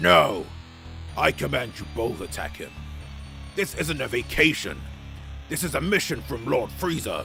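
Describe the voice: A man in a put-on character voice, medium pitch, bright and sharp tone, vocal fry, big pitch swings, fairly slow pace with long, frequent pauses, faint music in the background.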